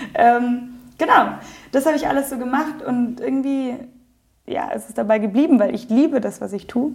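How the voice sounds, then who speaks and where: Here a woman speaks at a high pitch. Her pace is moderate and her pitch variation ordinary. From Germany, Munich (Bavaria). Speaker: yoga teacher and studio owner. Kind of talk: interview. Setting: yoga studio.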